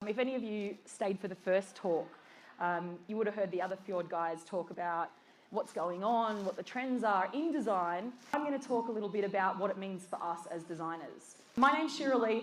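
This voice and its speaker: With an Australian accent, a woman speaks at a moderate pace and medium pitch, her intonation lively. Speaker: design director. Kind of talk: conference talk.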